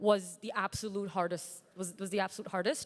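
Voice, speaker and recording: Speaking in an American accent, a woman keeps a moderate pace, a medium pitch and fairly even intonation. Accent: American-sounding. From Pakistan. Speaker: startup founder. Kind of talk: panel discussion. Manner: halting, many fillers.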